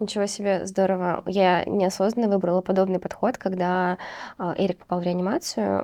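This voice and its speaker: Her tone dark and mellow, a woman speaks at a fairly quick pace with a medium pitch and monotone, flat intonation. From Uzbekistan. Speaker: podcast host, postnatal fitness trainer. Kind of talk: casual interview chat.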